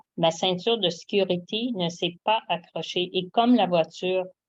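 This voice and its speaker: The sound is dry and close with no echo as a woman speaks very slowly, her pitch medium and her intonation fairly even. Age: 70s. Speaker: product distributor giving testimony. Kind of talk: testimony. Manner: reading aloud, prepared text.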